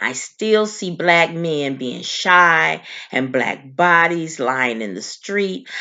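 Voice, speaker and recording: Using lively intonation, a woman with a fairly low pitch speaks at a very slow pace. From Oklahoma, US South. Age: 80s+. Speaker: massacre survivor. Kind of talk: testimony. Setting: senate hearing.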